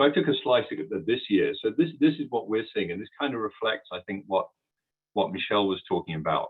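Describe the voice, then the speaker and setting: A man with a British accent speaks at a fairly quick clip. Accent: British accent, noticeable to US listeners. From UK. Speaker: transport software company executive. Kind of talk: webinar presentation. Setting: online webinar. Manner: hesitant, many fillers and repeats.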